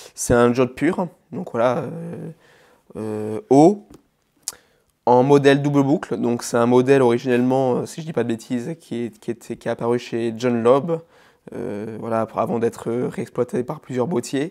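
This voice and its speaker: This man speaks at medium pitch in a dark, mellow tone with ordinary pitch variation. He leaves long, frequent pauses. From Alsace, Vosges mountains. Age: 20s. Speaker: bespoke shoemaker. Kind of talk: casual interview. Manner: hesitant, many fillers.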